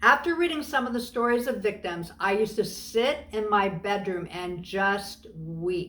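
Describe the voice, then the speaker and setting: A woman speaks in an unremarkable speaking voice, fairly high in pitch, with lively intonation. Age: 60s. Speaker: faith community leader, anti-trafficking advocate. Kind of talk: video tutorial talk, scripted.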